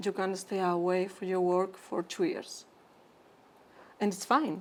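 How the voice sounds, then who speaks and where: A woman's medium-pitched voice in a Spanish accent, at a fairly slow pace with fairly even intonation. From Spain. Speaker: physician, interventional endoscopist. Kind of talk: interview conversation.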